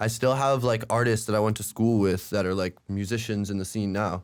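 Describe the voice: On a very clean recording with a silent background, a man speaks at a fairly quick pace in a fairly low pitch, his clear, smooth tone showing little pitch movement.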